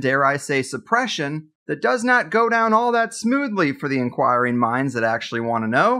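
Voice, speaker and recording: Against a quiet background, a man projects a raised voice with a bright, sharp tone, speaking at a moderate pace with very wide pitch swings. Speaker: podcast host. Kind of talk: podcast interview. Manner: casual.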